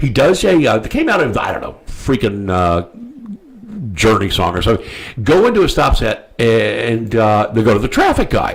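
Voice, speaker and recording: A man talks at a moderate pace. Behind him, music can be heard. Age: 60s. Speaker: talk show host. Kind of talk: casual chat. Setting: studio. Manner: halting, many fillers.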